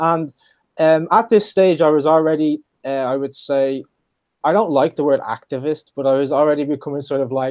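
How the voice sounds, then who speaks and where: A man's fairly high voice with an Irish accent, ordinary pitch variation and a moderate pace. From Ireland. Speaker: legal history expert, program manager. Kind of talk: interview.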